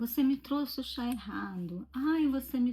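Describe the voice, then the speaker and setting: A woman's somewhat breathy voice moves with ordinary pitch variation. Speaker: vlogger. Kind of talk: casual chat. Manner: conversational.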